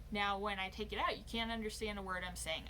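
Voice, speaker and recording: A woman's voice with audible room echo. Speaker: vlogger. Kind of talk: casual chat. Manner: animated.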